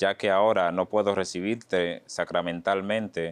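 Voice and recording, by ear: A man speaks at a fairly slow pace in a low voice, with a clear, smooth tone and fairly even intonation.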